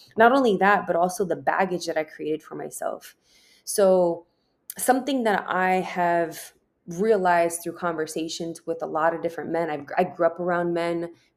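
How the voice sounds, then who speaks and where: An unremarkable speaking voice from a woman, fairly low in pitch, with ordinary pitch variation at a moderate pace. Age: 30s. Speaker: podcast host. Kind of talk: solo monologue.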